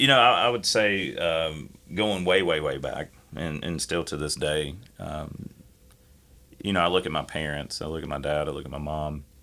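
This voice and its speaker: With vocal fry, a man talks at a moderate pace in a very deep, low pitch. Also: ordinary pitch variation. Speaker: podcast guest. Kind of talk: casual chat.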